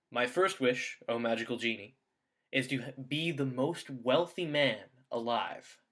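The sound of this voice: Quiet surroundings, ordinary pitch variation, and an unforced reading voice.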